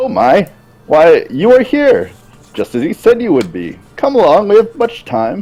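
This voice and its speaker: A man uses a put-on character voice at a high pitch, speaking at a moderate pace. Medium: actual play. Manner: eager, fussy.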